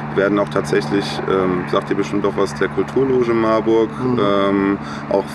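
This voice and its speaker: A man with a fairly low pitch speaks at a fairly quick pace against noticeable background noise. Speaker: student and volunteer concert organizer. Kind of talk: casual interview. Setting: outdoors in a garden. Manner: hesitant with many fillers.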